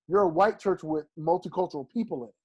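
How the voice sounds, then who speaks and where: Against a quiet background, a man speaks in an animated tone with a high pitch and ordinary pitch variation. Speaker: pastor. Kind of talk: interview conversation.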